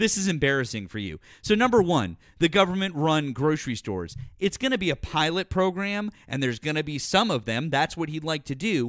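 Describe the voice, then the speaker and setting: In a very clean recording with a silent background, a man speaks in an animated tone at a fairly quick pace. His pitch is fairly high, with very wide pitch swings. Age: 40s. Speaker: political talk show host. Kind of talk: heated debate. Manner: animated, interrupting.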